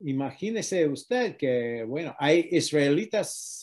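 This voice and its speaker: Against a quiet background, a man with an English accent talks at a very slow pace with a fairly high pitch and lively intonation. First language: English (speaking Spanish). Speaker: activist against antisemitism; interviewee. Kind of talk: interview. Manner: halting. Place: home room. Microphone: video call.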